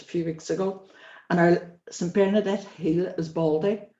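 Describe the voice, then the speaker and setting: A woman with a Northern Irish accent, fairly low in pitch, with a dark, mellow tone and monotone, flat intonation. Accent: Derry Northern Irish. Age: 60s. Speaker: interviewee. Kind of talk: interview, personal life story. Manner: conversational, with hesitations.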